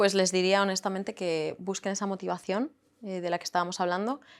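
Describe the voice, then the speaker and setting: The background is silent and the recording very clean. Words pour out at a very fast pace. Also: woman. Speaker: English teacher and language academy founder. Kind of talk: interview.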